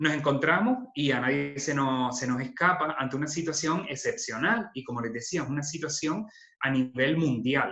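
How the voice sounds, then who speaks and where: With a bright, sharp tone and a fairly high pitch, a man talks at a moderate pace, his pitch varying in an ordinary way. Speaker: social worker giving a talk. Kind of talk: online lecture. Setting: video call webinar.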